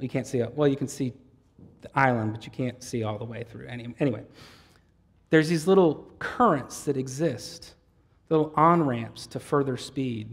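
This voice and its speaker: A moderate pace broken by long, frequent pauses. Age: 40s. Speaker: pastor. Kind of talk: sermon.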